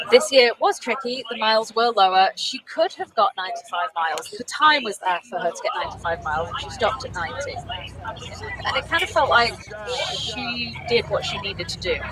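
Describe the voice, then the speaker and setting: Noticeable background noise sits behind this voice. A woman with a British accent speaks at a moderate pace. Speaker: race commentator. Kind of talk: live commentary.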